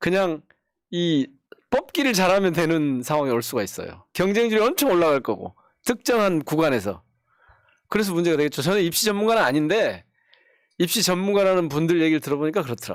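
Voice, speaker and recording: A man with a high voice talks at a fairly quick clip with lively intonation, broken by long, frequent pauses. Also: very clean recording, silent background. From South Jeolla, Korea (Gwangju area). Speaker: politician, lawmaker. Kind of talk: political talk show chat.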